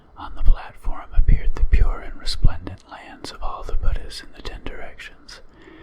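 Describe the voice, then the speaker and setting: Whispering at a moderate pace, with noticeable background noise. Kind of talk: ASMR sutra reading. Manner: whispered.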